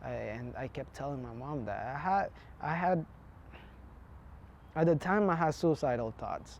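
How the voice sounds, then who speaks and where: Speaking at a moderate pace, a man leaves long, frequent pauses and his loudness swings widely. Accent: Spanish. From Honduras. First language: Spanish. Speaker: immigrant interviewee. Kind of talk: interview testimony. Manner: halting, many fillers and restarts.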